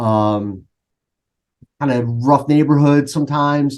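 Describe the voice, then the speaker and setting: Very slowly, a man speaks in a Philadelphia accent with a fairly high pitch and fairly even intonation. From Philadelphia, US. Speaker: coach. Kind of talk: casual interview.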